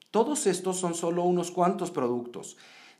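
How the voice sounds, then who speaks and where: Audible room echo surrounds a man's voice. His pitch is high and his intonation lively. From Mexico. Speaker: podcast host. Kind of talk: scripted narration; interview.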